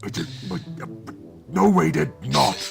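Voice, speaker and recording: Over clear background music, a man does a put-on character voice with a fairly low pitch, very wide pitch swings and a moderate pace. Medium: video game. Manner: slow, crude.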